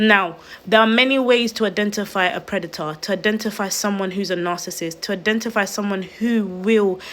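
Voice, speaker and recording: At a fairly quick pace, a woman speaks in an ordinary speaking voice at medium pitch with fairly even intonation. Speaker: online video host. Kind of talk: livestream talk. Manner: earnest, pleading.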